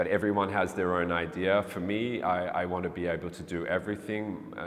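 With an Australian accent, a man speaks. His intonation is monotone and flat. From Melbourne, Australia. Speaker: street artist. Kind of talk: interview monologue. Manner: halting, many fillers and repetitions.

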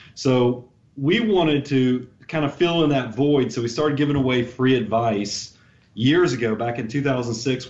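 A man with an ordinary speaking voice and medium pitch keeps a moderate pace, his pitch varying in an ordinary way. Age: 40s. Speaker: financial advisor. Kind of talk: podcast interview.

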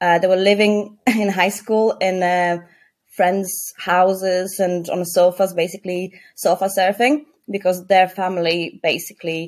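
With a Polish accent, a woman speaks at a medium pitch and a fairly slow pace. Her intonation is fairly even. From Poland. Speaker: clinical support worker. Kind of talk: casual interview.

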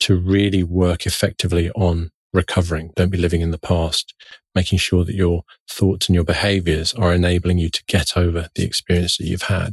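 A man with a very deep, low voice talks at a very fast pace, somewhat breathy, with fairly even intonation, a dry, close sound with no echo, and a very clean recording with a silent background. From London. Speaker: psychiatrist. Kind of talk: interview, conversational.

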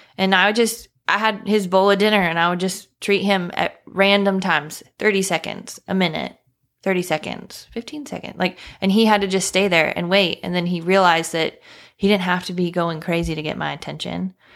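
A woman with a medium pitch talks at a fairly quick pace in an ordinary speaking voice, with fairly even intonation, in a very clean recording with a silent background. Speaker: dog trainer, co-host guest. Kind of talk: casual chat.

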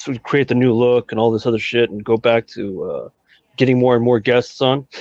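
A normal speaking voice with fairly even intonation and a dry, close sound free of echo. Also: man. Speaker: podcast co-host. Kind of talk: casual chat.

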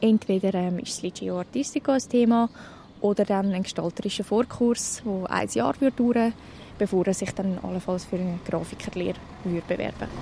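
A woman speaks in a normal speaking voice at medium pitch. Her pace is moderate and her pitch variation ordinary. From Switzerland, canton of Zurich (near Zürcher Oberland). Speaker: mentor and university student. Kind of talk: interview. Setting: café next to a train station.

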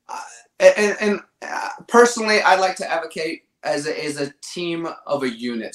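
In an ordinary speaking voice with an American accent, a man talks at a fairly slow pace with ordinary pitch variation. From Virginia, US. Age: 40s. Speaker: manufacturing influencer. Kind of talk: interview.

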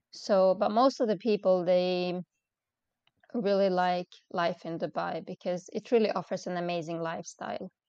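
With a Swedish accent, a woman speaks at a moderate pace and medium pitch, her tone dark and mellow, her intonation fairly even, and the sound dry and close with no echo. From Sweden. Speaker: expat mother. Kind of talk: casual interview. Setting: remote call. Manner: halting.

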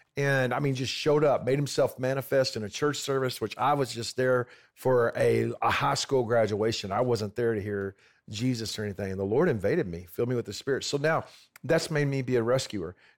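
A man at medium pitch and a fairly quick pace, with ordinary pitch variation, in a very clean recording with a silent background. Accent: American. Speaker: pastor and missionary. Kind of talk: casual interview chat. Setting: studio, on a couch.

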